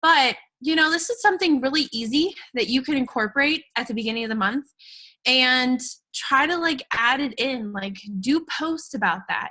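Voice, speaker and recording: A woman's high, bright, sharp voice is raised and projected. Her intonation is lively and her pace moderate. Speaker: fitness coach. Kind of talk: presentation on a group call.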